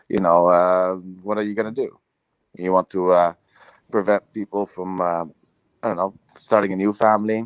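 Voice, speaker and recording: In a Dutch accent, a man with a very deep, low voice speaks at a moderate pace with monotone, flat intonation and long, frequent pauses, the sound dry and close with no echo. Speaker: video podcast host. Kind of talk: casual debate. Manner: halting.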